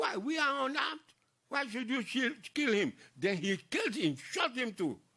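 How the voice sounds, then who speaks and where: A man speaks in a raised, projected voice at an extremely high pitch. His intonation is lively and his pace moderate. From Ghana, Accra (Osu). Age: 90s. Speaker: war veteran. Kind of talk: interview testimony.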